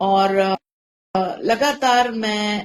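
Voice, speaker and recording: Her fairly high pitch moves with ordinary variation, and the woman's sound is dry and close with no echo. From India. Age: 50s. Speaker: content creator and storyteller. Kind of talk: interview conversation. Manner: articulate, clear Hindi pronunciation.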